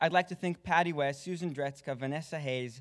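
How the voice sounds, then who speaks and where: A man with an American accent, fairly quick and fairly even in intonation, on a very clean recording with a silent background. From Israel, then Texas. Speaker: film student. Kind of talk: award acceptance speech. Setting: stage with audience.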